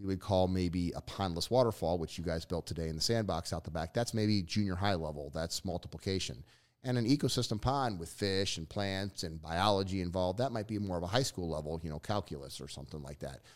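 A man with a New Jersey accent and a very deep, low pitch talks very fast in an energetic tone, with hardly any pauses and ordinary pitch variation, in a very clean recording with a silent background. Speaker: pond builder and business owner. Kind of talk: casual interview chat.

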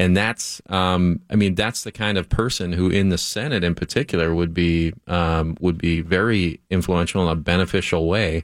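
A man with an American accent and a very deep, low pitch, moderate pace, fairly even intonation and hardly any pauses, on a very clean recording with a silent background. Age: 30s. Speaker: former state senator. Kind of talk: radio interview. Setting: radio studio.

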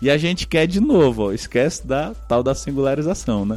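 A man speaks at a moderate pace in an ordinary speaking voice, fairly high in pitch and with ordinary pitch variation. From Brazilian Northeast. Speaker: business consultant. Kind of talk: casual interview chat.

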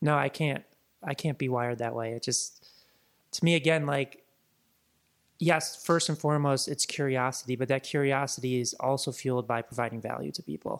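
A man with an American accent speaks at a fairly quick pace and medium pitch, with fairly even intonation. He has an ordinary speaking voice, and the recording is very clean with a silent background. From Chicago. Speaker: digital marketing entrepreneur. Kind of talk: interview conversation.

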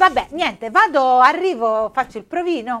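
Animated in tone, a woman speaks with lively intonation. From Apulia, Foggia. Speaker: podcast co-host. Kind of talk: casual chat.

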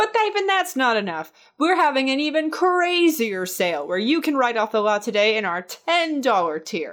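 A woman's animated tone with very wide pitch swings at a moderate pace, on a very clean recording with a silent background. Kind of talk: pitchman parody, mock infomercial sales pitch. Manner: animated, wheedling used-car-salesman patter, cheesy and over-the-top.

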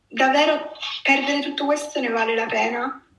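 A woman speaks with ordinary pitch variation in audible room echo. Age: 20s. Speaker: eating disorder survivor. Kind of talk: testimony. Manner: halting.

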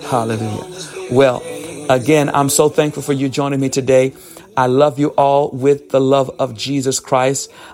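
Music plays in the background as a man talks at a moderate pace. His voice is fairly high, with fairly even intonation. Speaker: prayer minister. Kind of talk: fervent prayer and preaching, live online devotional. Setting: online livestream with connection interruptions. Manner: fervent, impassioned, call-and-response urging; repetitive, rhythmic, praising.

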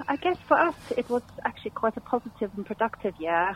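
A woman speaks with a slight South African accent. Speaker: musician. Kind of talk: radio interview. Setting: phone call.

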